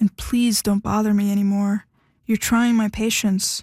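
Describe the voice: Someone reads text aloud. The delivery is plain reading aloud.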